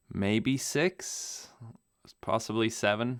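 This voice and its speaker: Speaking very slowly with ordinary pitch variation, a man has a bright, sharp tone in a very clean recording with a silent background. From Namibia. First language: German. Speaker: pilot and video creator. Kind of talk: podcast interview. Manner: casual, hesitant with fillers.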